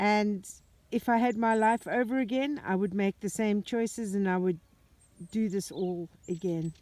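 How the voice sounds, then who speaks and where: Recorded very cleanly against a silent background, a woman talks at a moderate pace with very even loudness, medium pitch and ordinary pitch variation. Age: 60s. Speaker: vlogger restoring a farm. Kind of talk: casual vlog talk to camera. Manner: hesitant with fillers.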